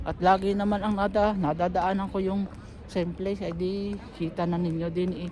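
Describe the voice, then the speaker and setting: Someone talks at a fairly quick pace. Noticeable background noise can be heard. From Philippines, Batangas. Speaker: vlogger. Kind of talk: casual vlog talk. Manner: halting.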